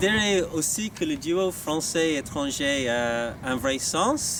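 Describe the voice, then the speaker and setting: With an Irish accent and a fairly high pitch, a man speaks with ordinary pitch variation over noticeable background noise. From Ireland. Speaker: staff election candidate, business school sales manager. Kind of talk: campaign video statement. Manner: halting, many hesitations.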